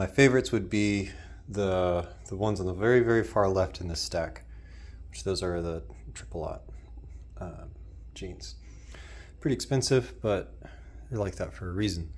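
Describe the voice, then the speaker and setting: With very wide pitch swings, big swings in loudness and vocal fry, a man with a very deep, low pitch keeps a moderate pace broken by long, frequent pauses. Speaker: clothing reviewer. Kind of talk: casual product review. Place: home room. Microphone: phone near.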